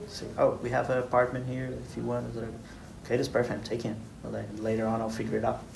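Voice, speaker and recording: A man races through his words at a very fast pace, with audible room echo and noticeable background noise in the recording. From Brazil. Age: 20s. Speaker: engineer. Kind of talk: interview.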